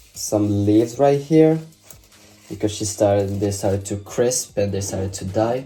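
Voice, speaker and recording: With music playing behind him, a man talks at a moderate pace in a fairly low pitch, his pitch varying in an ordinary way. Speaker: vlogger. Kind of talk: casual vlog.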